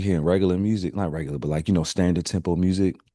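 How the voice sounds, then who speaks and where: Very deep and low in pitch, with a dark, mellow tone, a man speaks at a very fast pace. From Baltimore, Maryland. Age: 30s. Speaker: DJ and producer. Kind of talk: casual interview. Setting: video call. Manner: animated.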